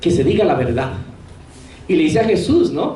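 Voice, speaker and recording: Amid noticeable background noise and audible room echo, a man speaks with a high pitch. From Colombia, Santander. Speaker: priest. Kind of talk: lecture.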